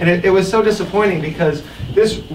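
A man talks with ordinary pitch variation while noticeable background noise runs underneath. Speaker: master of ceremonies for a political advocacy group; speaker. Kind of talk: public speech at event. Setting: barn with live audience. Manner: loud. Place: hall. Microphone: handheld.

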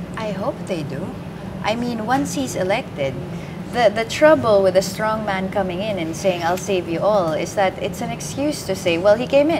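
Over noticeable background noise, a woman of medium pitch talks at a moderate pace with lively intonation. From Philippines. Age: 30s. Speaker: journalist. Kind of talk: live election-night panel discussion. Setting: studio.

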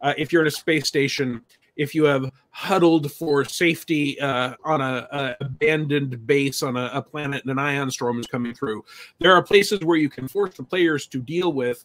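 A man at a moderate pace, ordinary pitch variation, over a quiet background. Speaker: podcast guest. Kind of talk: podcast discussion. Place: home room.

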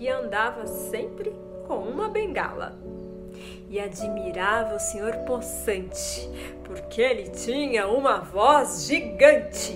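The voice moves at a very slow pace with long, frequent pauses while clear music plays in the background. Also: woman. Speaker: reading educator, storyteller. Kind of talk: storytelling to children. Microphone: phone near.

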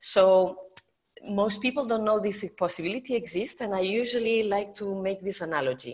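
At a moderate pace, a woman speaks with a Spanish accent. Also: medium pitch for a woman, ordinary pitch variation. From Spain. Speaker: professor and natural vision educator. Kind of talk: interview. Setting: video call.

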